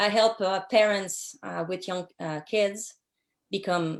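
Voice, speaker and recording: A woman in a French accent, medium in pitch and fairly slow, with ordinary pitch variation on a very clean recording with a silent background. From Quebec City, Canada. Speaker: social worker and business owner. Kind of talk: interview. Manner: halting, many fillers.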